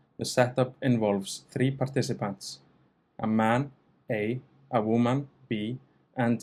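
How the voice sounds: The intonation is fairly even and the tone slightly mellow. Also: man.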